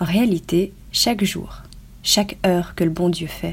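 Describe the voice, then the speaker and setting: On a very clean recording with a silent background, a woman with a fairly low, somewhat breathy voice speaks at a fairly slow pace in a monotone, flat intonation. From Belgium. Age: 20s. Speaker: online business student sharing testimony. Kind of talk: scripted reading of testimony. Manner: formal.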